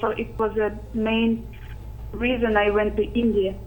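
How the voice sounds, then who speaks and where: Over noticeable background noise and audible room echo, a woman talks in a fairly high pitch with flat, monotone intonation. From Arctic Siberia, Russia. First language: Russian or Sakha language. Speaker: youth citizen scientist. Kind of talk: interview. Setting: video call.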